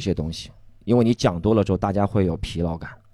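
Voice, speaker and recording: Very fast speech comes from a man with lively intonation. The background is silent on this very clean recording. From Shanghai, China. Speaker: stand-up comedian. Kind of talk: casual chat; stand-up.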